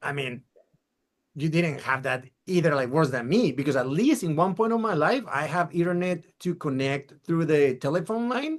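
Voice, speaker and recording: With lively intonation, a man speaks at a moderate pace and a fairly high pitch. His is a plain, everyday voice. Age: 40s. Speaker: podcast host. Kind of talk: casual interview.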